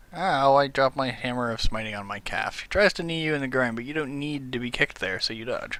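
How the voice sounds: The speaker reads in a natural reading voice, with pitch moving in an ordinary way.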